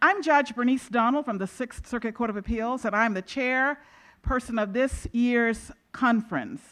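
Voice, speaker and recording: A woman speaks at a fairly high pitch with ordinary pitch variation. The background is quiet. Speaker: judge and conference chair. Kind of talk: introductory speech to conference audience. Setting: stage with audience. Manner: loud.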